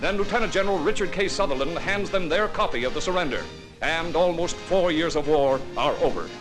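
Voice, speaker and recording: With music in the background, a man at a high pitch talks at a fairly quick pace and very even loudness. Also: ordinary pitch variation. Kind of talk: newsreel narration.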